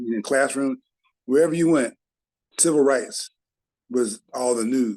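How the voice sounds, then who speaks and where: A man's unremarkable speaking voice with an American accent, medium pitch, ordinary pitch variation, and a fairly slow pace. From Chicago, US Midwest. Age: 60s. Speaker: civil rights activist. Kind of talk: interview recollection.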